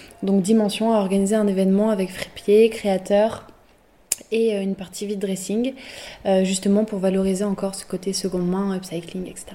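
A woman's medium-pitched, monotone, flat delivery against noticeable background noise. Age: 18. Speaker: student entrepreneur. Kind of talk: interview. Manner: halting.

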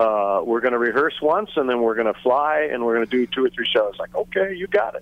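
Speaking at a fairly quick pace with hardly any pauses, a man uses a plain, everyday voice at a medium pitch with lively intonation. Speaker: musician. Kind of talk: interview.

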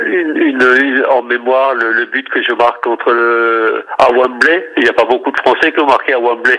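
A man talking at a moderate pace with hardly any pauses, over noticeable background noise. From Alsace, France. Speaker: retired footballer. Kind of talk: interview. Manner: halting.

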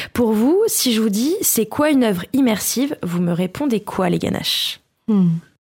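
With lively intonation and very even loudness, a woman speaks at a fairly slow pace in a fairly high, somewhat breathy voice. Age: 30s. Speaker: podcast columnist. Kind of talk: casual chat.

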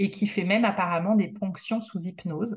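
A woman's somewhat breathy, medium-pitched voice. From France. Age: 40s. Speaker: woman going through solo fertility treatment. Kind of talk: personal testimony interview.

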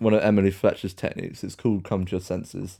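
With a British accent, a man speaks at a fairly low pitch in a dark, mellow tone. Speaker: podcast host. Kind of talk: casual chat.

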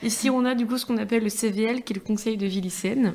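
A woman talks in a fairly high, monotone voice with flat intonation over noticeable background noise. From Niort, France. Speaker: student activist. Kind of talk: casual chat.

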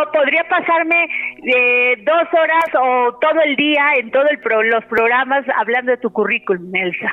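A high-pitched woman at a fairly slow pace, with lively intonation, very even loudness and noticeable background noise. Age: 50s. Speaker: radio host. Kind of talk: radio interview.

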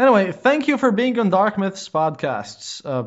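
At a moderate pace, a man with an Eastern European accent speaks with lively intonation. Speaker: podcast host. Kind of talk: interview. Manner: playful.

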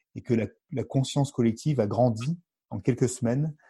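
Against a quiet background, a man talks at a fairly quick pace with a medium pitch. His tone is dark and mellow, and somewhat breathy. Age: 40s. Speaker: mountain guide and former gendarmerie officer. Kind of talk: interview. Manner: hesitant, with frequent repetitions and fillers.

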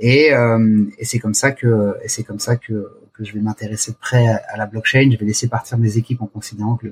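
A man's somewhat breathy, medium-pitched voice with a dry, close sound and no echo. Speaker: startup founder and CEO. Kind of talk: interview. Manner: halting; passionate.

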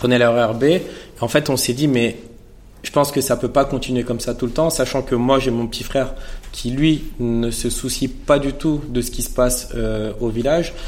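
A man at a medium pitch speaks at a moderate pace with fairly even intonation, and audible room echo surrounds him. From Paris suburbs (Seine-Saint-Denis), France. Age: 30s. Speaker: fashion brand founder. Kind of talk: masterclass interview before a live audience. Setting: stage with audience.

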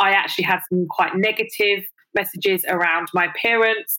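With a London accent, a woman talks at a moderate pace in a bright, sharp tone at medium pitch with ordinary pitch variation, on a very clean recording with a silent background. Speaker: influencer and body positivity advocate. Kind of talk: personal interview, candid testimony. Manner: hesitant, many fillers.

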